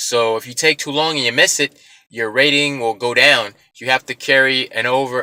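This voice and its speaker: The sound is dry and close, with no echo. A man speaks at a fairly quick pace. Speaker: rideshare driver, vlogger. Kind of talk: casual tutorial vlog. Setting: self-recorded on camera. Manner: fast; casual, filler-heavy.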